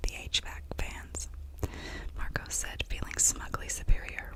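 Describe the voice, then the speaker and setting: Noticeable noise fills the background. Beneath it, a woman whispers. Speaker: ASMR artist. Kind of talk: whispered audiobook reading for sleep and relaxation. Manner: whispered, soft.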